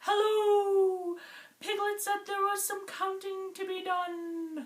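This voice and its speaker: In a put-on character voice, a woman squeaks at an extremely high pitch. She speaks very slowly in a monotone, flat way. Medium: read story.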